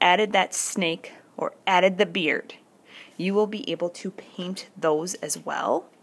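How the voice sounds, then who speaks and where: Her loudness swinging widely, a woman speaks in an ordinary speaking voice at a fairly slow pace, with a medium pitch and ordinary pitch variation. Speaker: art teacher. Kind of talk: tutorial.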